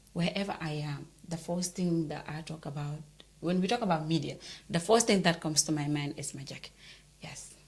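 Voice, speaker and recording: This woman has a fairly low pitch and a somewhat breathy sound, speaking at a moderate pace with ordinary pitch variation and big swings in loudness. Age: young. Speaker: journalist and show host. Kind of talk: interview.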